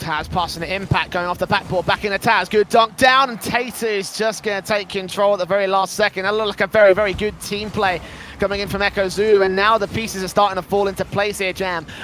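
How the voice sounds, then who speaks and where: A high-pitched man at a very fast pace with hardly any pauses, over noticeable background noise. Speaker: esports play-by-play caster. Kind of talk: live commentary. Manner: animated.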